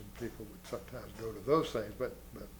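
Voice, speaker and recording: Audible reverberation from the room surrounds a male speaker with an American accent. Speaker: war veteran. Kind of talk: interview. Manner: halting.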